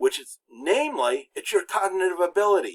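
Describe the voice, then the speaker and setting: A dry, close sound with no echo, with an American accent. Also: man. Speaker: college instructor, former pastor. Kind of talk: lecture. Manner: many filler words and false starts; pauses between words when speaking French.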